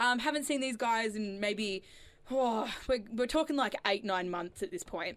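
A woman's plain, everyday voice, fairly high and fairly slow, with lively intonation. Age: 20s. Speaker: student radio co-host. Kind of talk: casual chat. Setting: studio.

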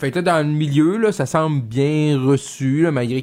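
Speaking at a fairly slow pace, a man is heard in a very clean recording with a silent background. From Saguenay–Lac-Saint-Jean, Quebec. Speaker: fill-in radio host. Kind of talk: talk radio interviews. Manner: hesitant with many fillers.

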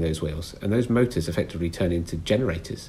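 Someone speaks at a fairly quick pace with a British accent, the voice somewhat breathy and the intonation lively. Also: man. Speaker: train fleet expert. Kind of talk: interview.

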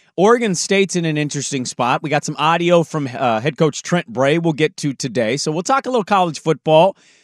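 A man with an unremarkable speaking voice, fairly high-pitched and fairly quick, with lively intonation and hardly any pauses, in a dry, close sound with no echo against a quiet background. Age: 30s. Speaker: sports radio host. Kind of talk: casual banter.

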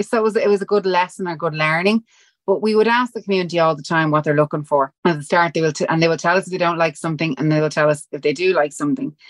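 Someone with a strong Dublin accent speaks with ordinary pitch variation in a dry, close recording with no echo. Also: woman. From Dublin, Ireland. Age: 40s. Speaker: fitness brand founder. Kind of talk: casual interview chat.

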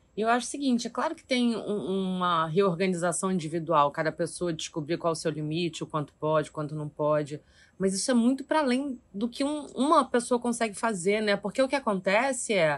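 Her pitch is medium, and her pitch swings are very wide. The woman talks at a fairly quick pace with hardly any pauses over a quiet background. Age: 40s. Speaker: actress. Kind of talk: casual chat.

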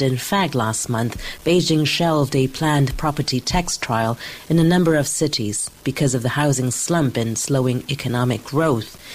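A woman's very deep, low voice at a moderate pace, with ordinary pitch variation and noticeable background noise. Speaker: newspaper bureau chief, news analyst. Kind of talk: news analysis interview. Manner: formal.

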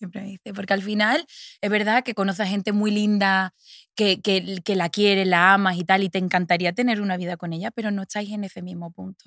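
In a very clean recording with a silent background and a dry, close sound with no echo, a woman speaks at a fairly quick pace with monotone, flat intonation. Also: medium pitch for a woman. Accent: Andalusian. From Andalusia, Seville province (Los Palacios y Villafranca). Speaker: fashion model. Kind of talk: interview conversation.

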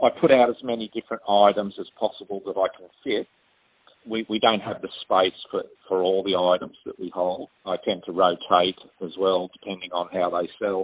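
Speaking at a moderate pace with an Australian accent, a man keeps a fairly low pitch and fairly even intonation. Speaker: postal manager. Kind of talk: recorded interview. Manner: halting. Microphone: crackly phone line.

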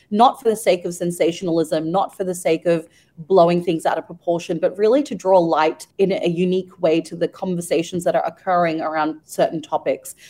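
In an Australian accent, a woman with a fairly low pitch and a dark, mellow tone talks at a fairly quick pace with ordinary pitch variation and hardly any pauses. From Australia (Melbourne). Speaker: magazine editor. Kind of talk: interview. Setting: radio studio.

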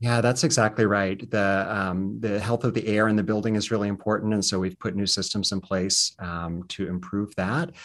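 At a moderate pace with hardly any pauses, a man with an American accent and an ordinary speaking voice talks at fairly low pitch with ordinary pitch variation against a quiet background. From US South, southwestern Virginia Appalachia. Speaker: performing arts center director. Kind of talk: interview.

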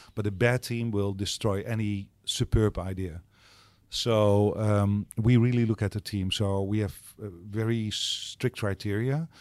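A man with a Dutch accent at a fairly low pitch, fairly even intonation, and a fairly slow pace on a very clean recording with a silent background. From Netherlands. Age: 60s. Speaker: startup accelerator co-founder. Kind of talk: interview. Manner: halting.

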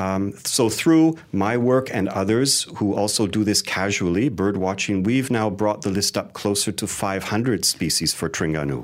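An unremarkable speaking voice from a man, fairly low in pitch, at a moderate pace with hardly any pauses and lively intonation, on a very clean recording with a silent background. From Canada. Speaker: wildlife photographer and educator. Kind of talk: interview.

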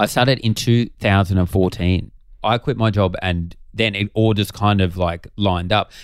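In an Australian accent, a man with a fairly low pitch talks at a moderate pace with very even loudness and fairly even intonation, recorded very cleanly against a silent background. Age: 30s. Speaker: comedian. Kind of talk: casual chat.

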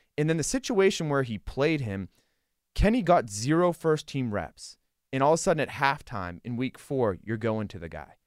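An American accent at a moderate pace, with very wide pitch swings and big swings in loudness, on a very clean recording with a silent background. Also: man, medium pitch for a man. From Western Pennsylvania. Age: 30s. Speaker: sports reporter. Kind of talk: casual sports talk. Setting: studio.

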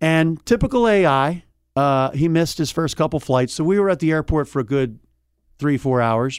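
Recorded very clean with a silent background, a man with a fairly high pitch talks at a moderate pace with lively intonation and very even loudness. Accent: Philadelphia. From Delaware County, outside Philadelphia. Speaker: sports reporter. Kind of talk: casual interview.

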